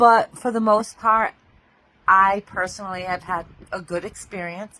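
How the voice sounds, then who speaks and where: A woman speaks at a medium pitch with a bright, sharp tone. Her intonation is fairly even, but her loudness swings a lot. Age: 60s. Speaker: lifestyle vlogger. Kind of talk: casual video diary. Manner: chatty, halting.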